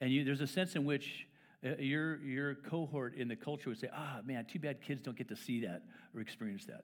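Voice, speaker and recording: A man with a plain, everyday voice in an American accent, fairly high pitch, lively intonation and a fairly quick pace, on a very clean recording with a silent background. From England, then Tucson, Arizona. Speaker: pastor. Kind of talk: sermon. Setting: church.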